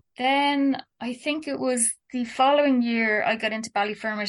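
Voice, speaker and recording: A woman speaks at a moderate pace with a Dublin accent. Her pitch is high, with ordinary variation. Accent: Dublin Irish. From Ireland, Dublin. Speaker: artist and illustrator. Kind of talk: casual interview.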